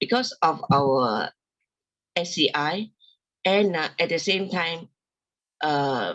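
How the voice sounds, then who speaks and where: Speaking at a very slow pace, a woman with a fairly low pitch uses very wide pitch swings. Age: 60s. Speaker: person with spinal cord injury sharing experience. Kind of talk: testimony. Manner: halting, with many fillers.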